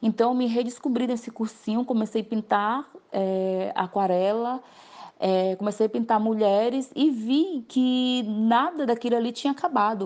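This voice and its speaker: A woman speaks at a fairly high pitch and a fairly slow pace. The background is quiet. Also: ordinary pitch variation. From Brazil, Acre (Tarauacá). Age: 30s. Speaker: visual artist. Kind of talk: interview testimony. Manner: halting, many fillers.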